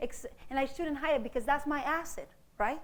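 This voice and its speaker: A woman with a Mexican accent speaks at a high pitch and a fairly quick pace. Her tone is animated, with audible room echo around her. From East Los Angeles, born in Mexico. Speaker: mathematics professor. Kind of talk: public lecture.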